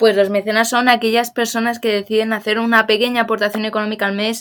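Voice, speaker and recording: The speech runs at a very fast pace in a monotone, flat intonation. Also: woman. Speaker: fencing coach. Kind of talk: casual chat.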